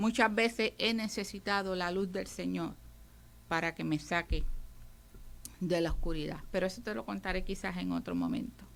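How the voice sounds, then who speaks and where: The talking goes at a moderate pace, broken by long, frequent pauses. The recording is very clean, with a silent background. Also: woman. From Puerto Rico. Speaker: radio preacher. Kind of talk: radio sermon.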